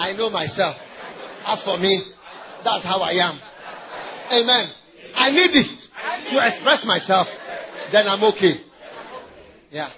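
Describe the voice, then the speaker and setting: A man with a Ghanaian accent, high in pitch, at a fairly slow pace with ordinary pitch variation and long, frequent pauses, amid audible room echo and crowd noise in the background. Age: 40s. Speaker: pastor. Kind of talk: sermon. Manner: animated.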